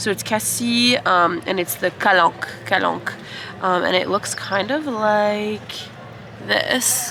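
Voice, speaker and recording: Music plays behind a speaker with an American accent talking at a very slow pace. Pitch varies in an ordinary way, and loudness stays very even. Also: woman, medium pitch for a woman. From United States. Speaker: travel vlogger. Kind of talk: casual vlog talk to camera.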